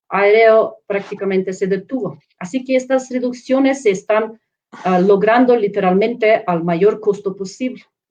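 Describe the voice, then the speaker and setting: A woman with a non-native accent speaks at a fairly slow pace. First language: not Spanish (speaking Spanish). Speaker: professor and researcher. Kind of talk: panel presentation. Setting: live online stream. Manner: halting, with fillers and self-corrections.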